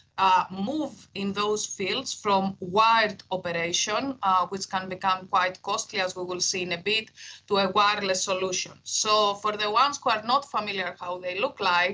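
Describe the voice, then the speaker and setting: A woman with a Greek accent, medium pitch, fairly even intonation and a moderate pace. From Greece. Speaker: engineering professor. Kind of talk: keynote lecture. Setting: university talk with audience. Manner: hesitant, many fillers.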